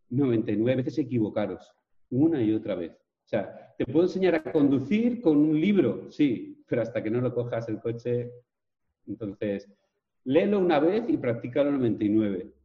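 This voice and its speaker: A man's somewhat breathy voice at medium pitch, lively intonation, big swings in loudness, and a fairly slow pace. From Spain, Villarreal (Castellón). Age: 40s. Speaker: fitness coach. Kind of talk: interview.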